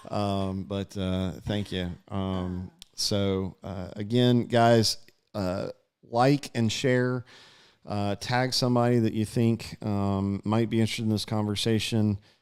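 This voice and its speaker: A man speaks very slowly with an Alabama accent, his intonation fairly even. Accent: Southern US (Alabama). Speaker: local political interviewer. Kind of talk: casual interview livestream. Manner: loud; halting, many fillers.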